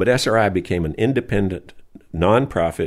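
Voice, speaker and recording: A man with an American accent speaks in a very deep, low voice with ordinary pitch variation. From US South, Alabama. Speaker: retired research engineer and inventor. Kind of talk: interview.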